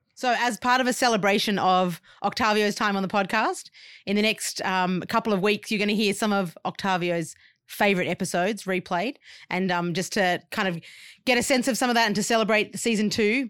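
In a very clean recording with a silent background, a woman with an Australian accent talks at a fairly quick pace and very even loudness, her medium pitch showing ordinary variation. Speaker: podcast host. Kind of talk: casual chat. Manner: animated, warm.

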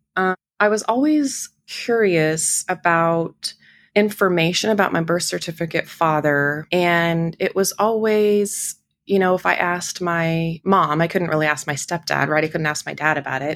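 A woman's fairly low, a normal speaking voice with an American accent, moderate pace and ordinary pitch variation, on a very clean recording with a silent background. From Idaho, small town. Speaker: podcast guest sharing life story. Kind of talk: personal testimony.

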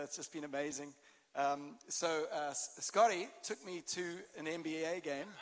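A man with a South African accent speaks at a fairly high pitch. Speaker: pastor. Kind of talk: sermon. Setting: church stage with audience.

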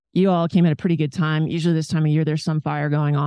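A woman with an American accent and a very deep, low pitch, very fast and monotone, her tone dark and mellow, in a dry, close sound with no echo against a quiet background. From US South, Richmond, Virginia. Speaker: land conservation manager and former Olympic rugby player. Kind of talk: interview. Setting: outdoors at a conference.

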